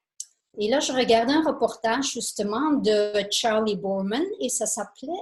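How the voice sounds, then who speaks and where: Somewhat breathy and fairly high-pitched, a woman speaks at a very slow pace. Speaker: photographer and travel speaker. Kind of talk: illustrated lecture. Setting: conference with audience. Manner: halting, many fillers.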